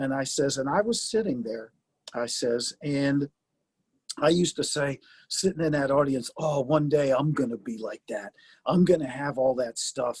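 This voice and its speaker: The man's fairly high-pitched voice is somewhat breathy and recorded dry and close with no echo. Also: ordinary pitch variation, moderate pace. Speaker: retired football coach. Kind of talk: casual interview chat.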